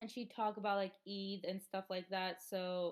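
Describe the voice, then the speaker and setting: A woman at a moderate pace. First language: Hindi and Urdu. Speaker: interviewee, former ESL student. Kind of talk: interview. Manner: casual, many fillers.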